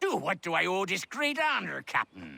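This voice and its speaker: Putting on a character voice, a man speaks at a high pitch and a moderate pace, the sound dry and close with no echo. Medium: video game. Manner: gruff, bantering.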